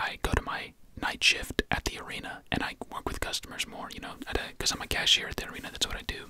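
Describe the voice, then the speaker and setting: Someone whispers at a very fast pace amid noticeable background noise. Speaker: ASMR creator. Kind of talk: ASMR whisper ramble. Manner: whispered; casual, rambling.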